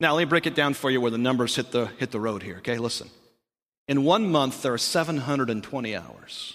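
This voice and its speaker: On a very clean recording with a silent background, a man talks very fast at a medium pitch with ordinary pitch variation. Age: 40s. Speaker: pastor. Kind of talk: sermon.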